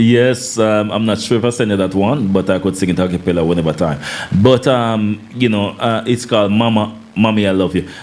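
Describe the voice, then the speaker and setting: A man speaks at a fairly low pitch with very even loudness over noticeable background noise. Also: ordinary pitch variation, fairly quick pace. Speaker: singer and former soldier. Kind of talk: interview chat. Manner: commanding.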